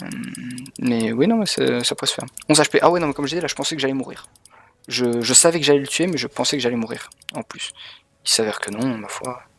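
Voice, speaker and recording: A man at medium pitch talks at a very fast pace with lively intonation, broken by long, frequent pauses. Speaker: video game streamer. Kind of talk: live gameplay commentary. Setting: streaming from home. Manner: animated.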